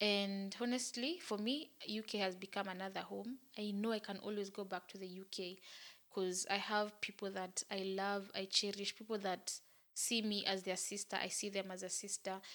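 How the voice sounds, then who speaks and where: A woman speaks at a medium pitch and a moderate pace with a monotone, flat intonation. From Kenya. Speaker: YouTuber. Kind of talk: casual talk to camera.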